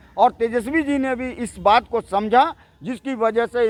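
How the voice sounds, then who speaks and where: A man's voice in dry, close sound with no echo. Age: 50s. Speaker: party supporter. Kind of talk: street interview.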